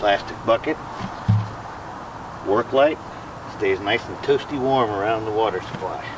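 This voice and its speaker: A man with a Southern US accent, long and frequent pauses, ordinary pitch variation, and noticeable background noise. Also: medium pitch for a man, moderate pace. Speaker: RV camper. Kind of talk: casual talk to camera.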